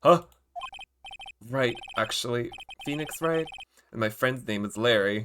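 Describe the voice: Lively intonation in plain reading aloud, the background quiet.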